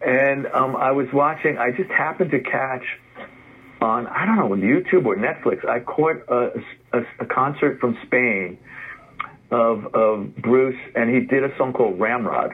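With an American accent, a man speaks at a medium pitch. His pitch varies in an ordinary way over noticeable background noise. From New York City, the Bronx. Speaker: rock musician and addiction recovery counselor. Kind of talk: interview. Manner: halting, many repeated words.

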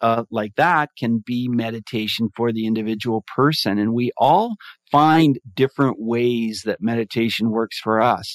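A man with a plain, everyday voice speaks at a fairly slow pace, at a medium pitch with ordinary pitch variation. The sound is dry and close with no echo, over a quiet background. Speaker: mindfulness advocate and podcaster. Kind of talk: casual interview chat.

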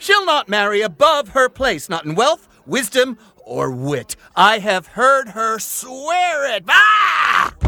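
Shouting at an extremely high pitch with very wide pitch swings, a man speaks very slowly over noticeable background noise. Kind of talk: audio drama, Shakespeare verse. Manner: boisterous, gruff, drunken, blustering.

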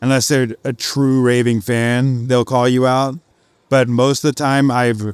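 A man uses a plain, everyday voice at a medium pitch and a moderate pace, with fairly even intonation. The recording is very clean, with a silent background. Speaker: podcast host. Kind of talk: live podcast recording, intro and interview. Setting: stage with audience, live at conference.

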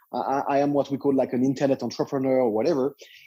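Recorded very cleanly against a silent background, a man with a French accent speaks in a dark, mellow tone. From France. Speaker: internet entrepreneur. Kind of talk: interview. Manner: halting.

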